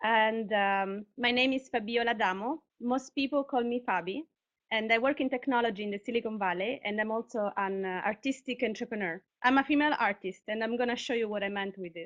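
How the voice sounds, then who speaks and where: In an Italian accent, a woman talks at a fairly quick pace with a fairly high pitch and ordinary pitch variation. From Italy, Sicily (Catania). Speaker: artist and tech worker, speaker. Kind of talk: conference talk; reading aloud. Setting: live online broadcast.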